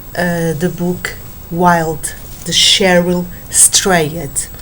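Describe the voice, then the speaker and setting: A speaker with a non-native accent talks at a very slow pace, with audible room echo and noticeable background noise. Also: woman. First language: Portuguese. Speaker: book vlogger. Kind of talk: book review monologue. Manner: halting, many fillers.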